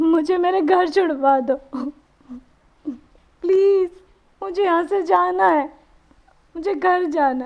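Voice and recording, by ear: Putting on a character voice, a woman speaks slowly at an extremely high pitch with vocal fry, ordinary pitch variation, and long, frequent pauses.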